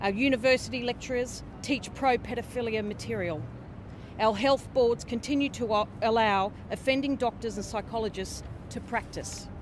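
Speaking in an Australian accent, a woman has a fairly high pitch and fairly even intonation at a moderate pace. The sound is dry with no echo, and there is noticeable background noise. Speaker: abuse survivor. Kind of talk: testimony. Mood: serious, earnest. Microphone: handheld.

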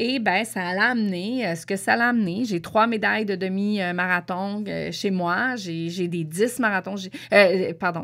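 A woman at a medium pitch, speaking at a fairly slow pace with hardly any pauses. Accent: Quebec. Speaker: podcast host. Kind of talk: casual monologue. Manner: hesitant, many fillers.

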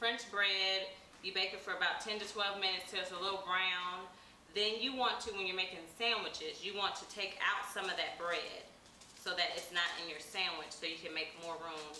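Over light background noise and with audible room echo, a woman speaks at a moderate pace with fairly even intonation. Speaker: cooking show host. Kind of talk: tutorial. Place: kitchen. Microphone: camera far.

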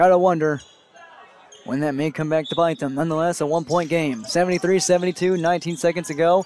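A man with a high pitch and ordinary pitch variation talks at a fairly quick pace, with a dry sound with no echo and light background noise. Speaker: sports broadcaster and TV reporter. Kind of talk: live sports play-by-play commentary. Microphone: headset.

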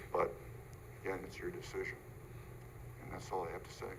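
A man talks while audible room echo and noticeable background noise fill the recording. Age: 80s+. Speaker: neighbor objecting at public hearing. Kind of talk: public hearing comment. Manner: halting.

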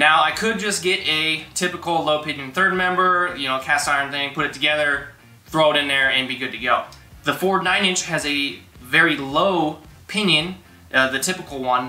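Faint music plays in the background and room echo can be heard. The man's intonation stays fairly even. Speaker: garage channel host. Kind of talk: tutorial. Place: garage.

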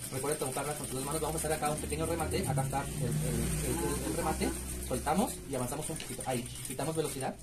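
There is loud background noise. Over it, a man speaks very fast. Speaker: sewing machine instructor. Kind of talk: sewing machine demonstration. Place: workshop. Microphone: phone near.

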